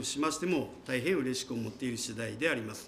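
Fairly quick speech with lively intonation over light background noise. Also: man. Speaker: mayor. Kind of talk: formal official answer. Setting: council chamber. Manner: formal. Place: hall. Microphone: podium.

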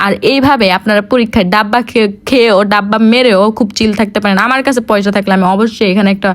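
Noticeable background noise sits under a woman's fairly high voice, which keeps fairly even intonation and very even loudness. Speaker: vlogger, university student. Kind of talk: vlog voiceover narration.

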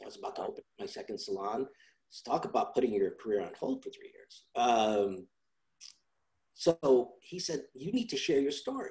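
A man talks at a moderate pace, his loudness swinging widely. The background is quiet. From Italy, raised in New York. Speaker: salon and beauty school owner; teacher. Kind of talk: interview. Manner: talkative. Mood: reflective, earnest. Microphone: video call.

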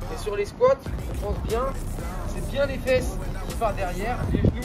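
A man talks at a moderate pace. Loud music fills the background. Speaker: fitness coach. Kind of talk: workout tutorial instruction. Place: open country.

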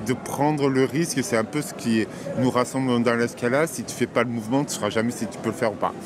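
Over clear background noise, a man talks fast at a medium pitch with ordinary pitch variation.

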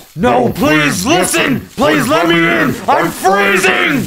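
A man shouts in a put-on character voice, high-pitched and very slow. Music plays in the background. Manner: pleading, desperate.

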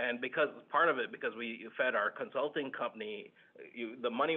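A man speaks at medium pitch. His pitch varies in an ordinary way. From Southern California, born in Tanzania. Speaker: tech company CEO; guest. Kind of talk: panel interview. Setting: alumni center room with conference phone. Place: meeting room. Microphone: too quiet on conference speakerphone.

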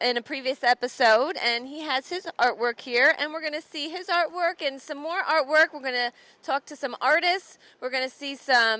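In a dry recording with no echo, a woman uses a raised, projected voice at a moderate pace, with ordinary pitch variation and big swings in loudness. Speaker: show host. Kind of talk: casual TV host presentation. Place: hall. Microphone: handheld.

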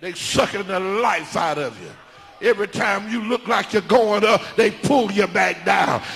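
High-pitched and animated, a man speaks with ordinary pitch variation. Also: moderate pace. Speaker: preacher. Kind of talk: sermon. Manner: animated, emphatic, preaching cadence. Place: church. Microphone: handheld.

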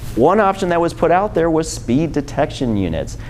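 A man speaks in a high pitch with an American accent. Light background noise is present. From Michigan, Detroit; Michigan. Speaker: transportation planner; presenter. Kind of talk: presentation. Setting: lunch talk with live audience. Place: meeting room.

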